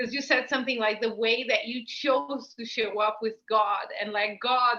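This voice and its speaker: Someone speaks with a Spanish accent at a moderate pace. The pitch variation is ordinary. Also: woman. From Brazil. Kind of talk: casual chat.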